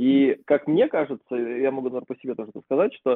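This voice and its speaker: This man's voice sits at a medium pitch and moves at a moderate pace. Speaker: podcast co-host. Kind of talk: casual chat.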